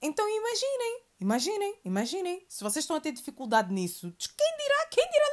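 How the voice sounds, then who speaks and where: Animated and fairly quick, a woman with a European Portuguese accent talks at an extremely high pitch with very wide pitch swings. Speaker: podcast host. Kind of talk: solo monologue podcast. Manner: animated, repetitive.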